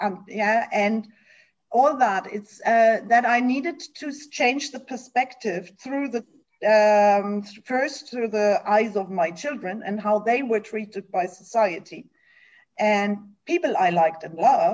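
A woman with a German accent speaks at a fairly slow pace and a fairly high pitch, with ordinary pitch variation. The background is quiet. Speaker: nonprofit executive. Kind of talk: interview. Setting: video call.

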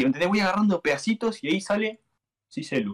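A man's high-pitched, lively voice in a Rioplatense accent at a fairly quick pace. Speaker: YouTuber. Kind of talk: casual chat. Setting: live stream.

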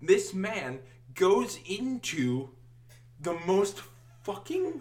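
Amid noticeable background noise, a man with an American accent speaks at a very slow pace with very wide pitch swings. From US Midwest, Wisconsin. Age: 20s. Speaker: podcast co-host. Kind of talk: casual chat. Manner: giggly, animated.

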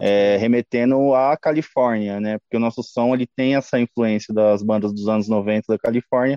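With an unremarkable speaking voice at medium pitch, a man speaks at a moderate pace with fairly even intonation and hardly any pauses. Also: very even loudness. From Brazil, Mauá, São Paulo state. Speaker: punk rock band vocalist. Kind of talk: casual interview.

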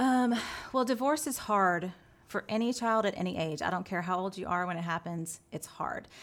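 Using a normal speaking voice with an American accent, the speaker has lively intonation and a moderate pace. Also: woman, medium pitch for a woman. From Texas. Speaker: designer and business co-owner, pastor's wife. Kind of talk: testimony.

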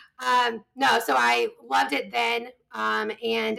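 A woman with a slight Southern US accent. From US South, eastern North Carolina. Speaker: bridal fashion professional. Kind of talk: casual interview chat.

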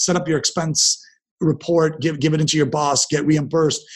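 With a Canadian accent, a man talks at a fairly quick pace in a somewhat breathy voice pitched fairly high. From Canada, Ontario (Dundas near Hamilton). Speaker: entrepreneur and investor. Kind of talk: interview conversation. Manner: conversational with frequent repetitions.

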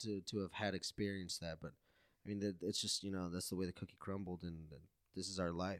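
This man talks with a very deep, low pitch. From Mexico. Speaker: podcast host. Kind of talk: casual chat. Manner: casual, profane.

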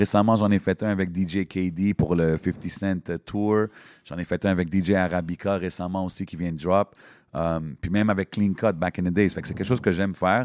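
At a moderate pace, the voice comes through a very clean recording with a silent background and a dry, close sound with no echo. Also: man, very deep, low pitch for a man. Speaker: hip-hop MC and event host. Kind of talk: casual interview chat. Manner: animated.

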